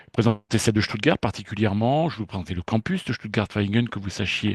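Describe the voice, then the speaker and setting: A man's fairly low voice at a very fast pace, with ordinary pitch variation, a dry, close sound with no echo, and a quiet background. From France, Brittany (Brest). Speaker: university lecturer and researcher, chemist. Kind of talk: presentation to students. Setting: live online information session, filmed. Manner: hesitant, many fillers.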